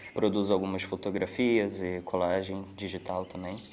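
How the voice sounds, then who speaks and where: Against noticeable background noise, a man speaks fairly slowly in a monotone, flat way. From Rio de Janeiro, Brazil. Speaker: audiovisual editor. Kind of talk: testimony.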